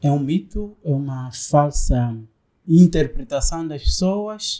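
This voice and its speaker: Very slow speech from a man with a fairly high pitch. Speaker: podcast host. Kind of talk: podcast interview.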